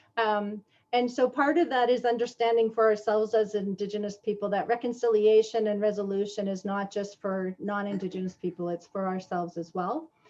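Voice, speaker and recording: This woman has an ordinary speaking voice, medium in pitch with ordinary pitch variation and a Canadian accent. She talks at a fairly quick pace with hardly any pauses. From Canada, Toronto. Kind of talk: online presentation. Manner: casual, conversational with fillers.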